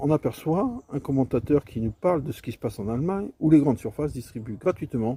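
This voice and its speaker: A man talks at a fairly quick pace in a fairly high pitch, his tone dark and mellow and somewhat breathy. His intonation is lively, and the sound is dry and close with no echo. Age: 60s. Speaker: video commentator. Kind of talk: casual monologue commentary. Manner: hesitant, many fillers.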